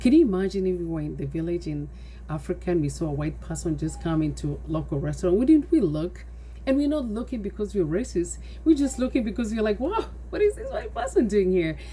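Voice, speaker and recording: A woman speaks with a Kenyan accent. Her pace is very fast. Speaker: nonprofit founder. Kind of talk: personal testimony.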